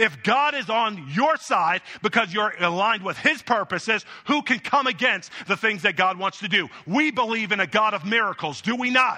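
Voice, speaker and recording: A man's raised, projected voice, high in pitch, bright and sharp in tone, with lively intonation. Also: moderate pace. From Jamaican family. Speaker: pastor. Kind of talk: sermon. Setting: church.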